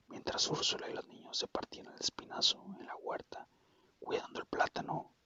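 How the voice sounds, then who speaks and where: Someone whispers at a fairly slow pace. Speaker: ASMR creator. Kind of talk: whispered book reading for sleep. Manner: whispered.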